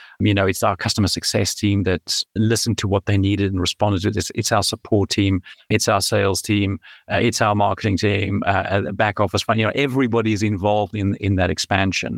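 A man with a South African accent speaks at a very fast pace, fairly low in pitch, with monotone, flat intonation and very even loudness, in a dry, close sound with no echo on a very clean recording with a silent background. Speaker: tech startup founder and CEO. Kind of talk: podcast interview.

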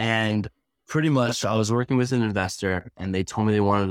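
An ordinary speaking voice from a man, fairly low in pitch, fairly quick, with ordinary pitch variation. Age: 20s. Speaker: real estate agent. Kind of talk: interview.

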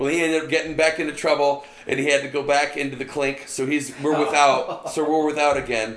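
A man talks at a very fast pace in a monotone, flat intonation. Noticeable background noise is present. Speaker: band guitarist and lead vocalist. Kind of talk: casual podcast interview chat.

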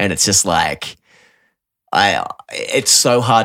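Speaking with an Australian accent, a man talks at a fairly slow pace with fairly even intonation and a bright, sharp tone. The recording is very clean, with a silent background. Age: 30s. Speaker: podcast host and musician. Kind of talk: casual chat.

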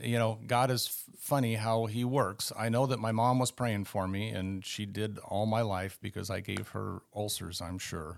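A man's fairly low voice in a Californian accent, at a moderate pace with fairly even intonation. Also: very clean recording, silent background. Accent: Californian American. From northern California. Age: 60s. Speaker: guest sharing conversion story. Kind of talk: testimony.

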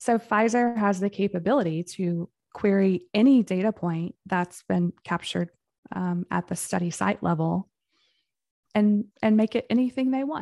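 A woman speaks in a plain, everyday voice at medium pitch and a moderate pace, with ordinary pitch variation, dry, close sound with no echo, and a very clean recording over a silent background. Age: 40s. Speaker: clinical research director and whistleblower. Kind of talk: interview.

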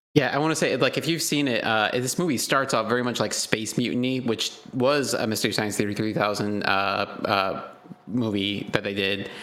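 Against noticeable background noise, a man with a medium pitch talks at a moderate pace with ordinary pitch variation. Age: 30s. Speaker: podcast co-host. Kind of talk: casual chat.

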